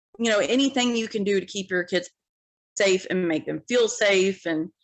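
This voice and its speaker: Speaking at a moderate pace, a woman with an unremarkable speaking voice talks at medium pitch with ordinary pitch variation. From Ohio. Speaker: single mom, industrial sales worker. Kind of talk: podcast interview. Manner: casual, filler-heavy.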